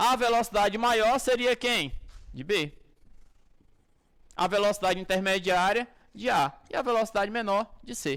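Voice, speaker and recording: In a very clean recording with a silent background, a man with a Brazilian accent speaks at a high pitch with ordinary pitch variation and long, frequent pauses. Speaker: physics teacher. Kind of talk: lecture. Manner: animated.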